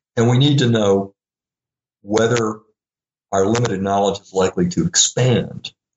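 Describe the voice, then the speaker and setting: A man with an American accent and fairly low pitch, at a moderate pace with ordinary pitch variation, big swings in loudness and long, frequent pauses. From US South, Little Rock, Arkansas. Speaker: philosophy professor. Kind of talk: interview.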